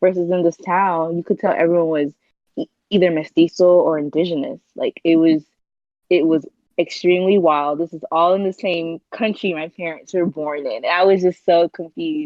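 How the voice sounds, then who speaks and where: A woman speaks in an ordinary speaking voice at a fairly low pitch. Her pace is moderate, with ordinary pitch variation. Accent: American. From North Carolina, US. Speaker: entrepreneur and public speaker. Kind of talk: interview conversation.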